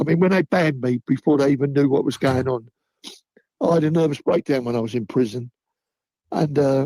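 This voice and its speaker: In a Cockney accent, a man with a fairly high pitch and a dark, mellow tone talks at a fairly quick pace with ordinary pitch variation and long, frequent pauses, the sound dry and close with no echo. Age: 70s. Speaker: football fan. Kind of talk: casual chat.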